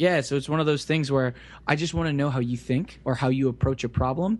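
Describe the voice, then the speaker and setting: An unremarkable speaking voice from a man with an American accent, medium in pitch with ordinary pitch variation. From US South, Central Florida (Kissimmee). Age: 20s. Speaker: web developer. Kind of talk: casual interview.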